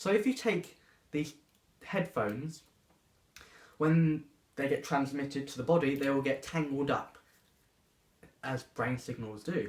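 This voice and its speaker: A man's somewhat breathy, fairly high-pitched voice at a fairly slow pace, with ordinary pitch variation and long, frequent pauses. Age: 20s. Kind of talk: personal testimony.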